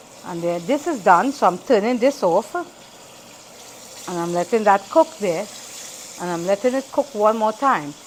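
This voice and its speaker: Through noticeable background noise, a woman speaks with very wide pitch swings and long, frequent pauses. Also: medium pitch for a woman, moderate pace. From Trinidad. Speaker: home cooking vlogger. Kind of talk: cooking tutorial.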